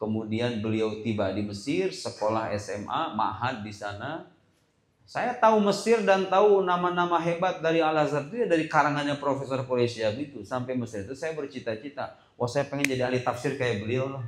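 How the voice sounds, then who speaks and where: Amid audible room echo, a man with fairly high pitch and very wide pitch swings speaks at a fairly quick pace with hardly any pauses. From Indonesia, Sukabumi (West Java), moved to Tangerang. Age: young. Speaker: Islamic preacher. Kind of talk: school talk show. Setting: school hall with student audience. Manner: casual, conversational.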